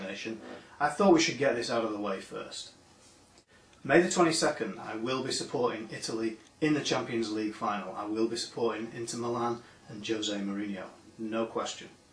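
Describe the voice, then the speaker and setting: Amid noticeable background noise and audible room echo, a man with an American accent talks at a moderate pace, medium in pitch with ordinary pitch variation. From northern England, Manchester. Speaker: industry association director. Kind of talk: recorded video address.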